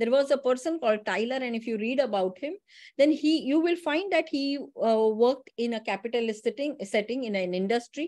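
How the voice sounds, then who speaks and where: A woman speaks at a fairly quick clip in a high voice with lively intonation. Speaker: teacher educator giving a session. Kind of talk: online lecture. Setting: online session. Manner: fast; passionate.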